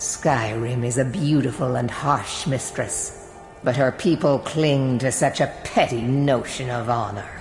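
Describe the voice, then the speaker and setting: A put-on character voice sits at a low-to-middle pitch and moves at a fairly slow pace. Clear background noise and a clear echo surround it. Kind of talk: epic fantasy villain. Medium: game stream. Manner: imperious, menacing, measured.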